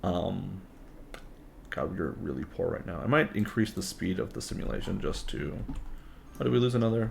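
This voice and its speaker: A man at a fairly low pitch and a fairly quick pace, with very wide pitch swings. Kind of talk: casual gaming commentary.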